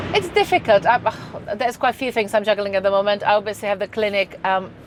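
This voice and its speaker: A woman speaks very fast with a Czech accent. Her pitch is medium and her intonation fairly even. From Czech Republic. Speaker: nutritionist. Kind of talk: podcast interview. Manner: halting, many restarts.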